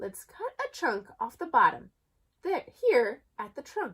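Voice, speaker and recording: In a put-on character voice, a woman speaks at an extremely high pitch and a fairly slow pace, her pitch swinging very widely. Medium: read story. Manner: cheerful.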